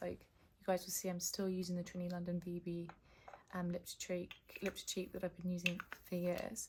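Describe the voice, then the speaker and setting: Fairly quick, somewhat breathy speech from a woman at medium pitch. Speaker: founder and event organiser vlogger. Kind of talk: casual vlog. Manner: soft-spoken.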